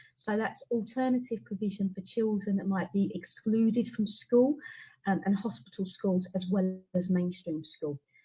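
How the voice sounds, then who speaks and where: Her medium-pitched voice has a dark, mellow, somewhat breathy tone, and this woman speaks at a moderate pace with ordinary pitch variation. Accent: British. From UK. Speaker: education researcher and teacher. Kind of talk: webinar presentation.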